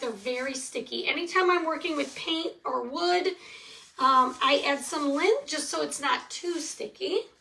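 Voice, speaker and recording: A woman with a Michigan accent speaks in a raised, projected voice at a moderate pace, her intonation lively over noticeable background noise. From Michigan, US Midwest. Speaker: craft tutorial host. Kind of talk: live craft tutorial. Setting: livestream. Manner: casual, chatty.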